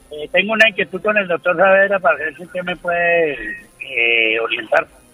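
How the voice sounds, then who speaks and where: At a moderate pace, a high-pitched man speaks with lively intonation and big swings in loudness over noticeable background noise. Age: 70s. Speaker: caller, taxi driver. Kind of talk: radio call-in question.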